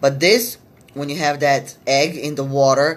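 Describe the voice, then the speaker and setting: Her pitch is very deep and low for a woman. She talks at a fairly slow pace. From Macedonia. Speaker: spiritual reader. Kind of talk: live stream reading session. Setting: live video stream. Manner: hesitant, many fillers.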